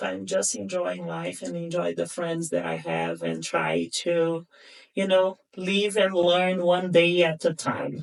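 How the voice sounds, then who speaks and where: A woman with a Brazilian Portuguese accent speaks at a very slow pace in a fairly low pitch. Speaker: podcast guest. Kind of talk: casual chat.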